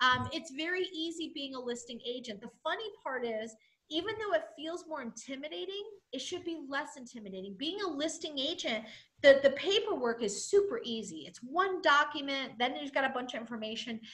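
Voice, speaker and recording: The speaker has an energetic tone, very wide pitch swings, big swings in loudness and a fairly quick pace. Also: woman, high pitch for a woman. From New England. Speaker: real estate trainer. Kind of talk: training webinar.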